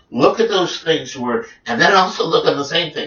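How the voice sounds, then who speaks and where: A man is talking here, neither fast nor slow. The background noise behind him is noticeable. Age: 50s. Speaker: technical trader. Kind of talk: casual chat. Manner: halting.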